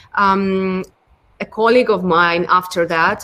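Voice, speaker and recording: A woman's bright, sharp voice with a Ukrainian accent at a fairly slow pace. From Ukraine. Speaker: product design lead. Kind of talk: interview. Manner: hesitant, many fillers.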